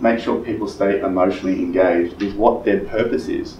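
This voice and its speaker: A man speaks amid light background noise, with audible room echo. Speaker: real estate trainer. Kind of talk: coaching talk to colleagues. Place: meeting room. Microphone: camera far.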